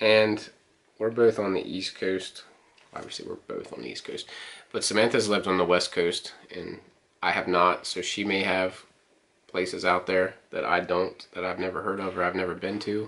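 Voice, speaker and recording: A man's very deep, low voice at a moderate pace with monotone, flat intonation. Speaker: co-host of couple channel. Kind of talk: casual vlog chat. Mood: relaxed, playful. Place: home room. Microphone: camera far.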